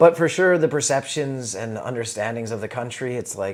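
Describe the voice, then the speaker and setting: A man talks in a plain, everyday voice. His pitch is medium, and he speaks with a Canadian accent. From Canada. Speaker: comedian. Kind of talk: casual chat. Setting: in his house.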